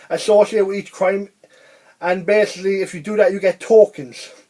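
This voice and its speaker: The speaker is a man with a high pitch. He talks in an Irish accent. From Ireland. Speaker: video game reviewer. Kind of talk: casual video review monologue. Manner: fast; rambling, halting with restarts.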